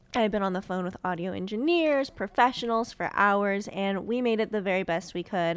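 Speaking at a moderate pace with hardly any pauses, a woman keeps a medium pitch and ordinary pitch variation. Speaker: podcast co-host. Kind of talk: casual chat. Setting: video call.

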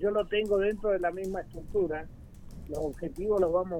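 Ordinary pitch variation in a man's speech. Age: 60s. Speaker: provincial tourism minister. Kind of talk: radio interview.

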